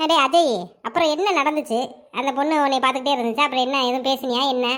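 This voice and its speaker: Doing a cartoonish character voice, a woman speaks at a high pitch and a moderate pace with fairly even intonation. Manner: sarcastic, rapid, colloquial.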